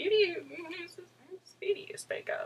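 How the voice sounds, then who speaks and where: A put-on character voice, squeaky and extremely high in pitch, unfolds at a fairly slow pace. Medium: read story.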